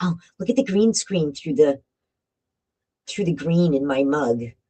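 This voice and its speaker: A woman with a New England accent speaks in a very deep, low voice, her tone dark and mellow, recorded dry and close with no echo. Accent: New England American. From Connecticut, Bristol. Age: 60s. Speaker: paranormal live streamer. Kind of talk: live stream storytelling. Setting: home live stream with green screen. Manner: casual, rambling with fillers.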